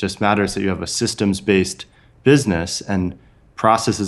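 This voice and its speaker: The speaker has a Californian accent. Pitch varies in an ordinary way. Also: man. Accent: General American (Californian). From US West Coast (San Francisco Bay Area). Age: 30s. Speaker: author and entrepreneur. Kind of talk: casual interview.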